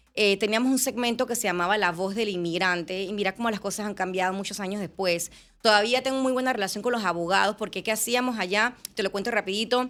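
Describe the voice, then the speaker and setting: A woman rattles along at a very fast pace with hardly any pauses and fairly even intonation. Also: medium pitch for a woman. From Panama. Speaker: journalist and TV presenter. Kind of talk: interview conversation.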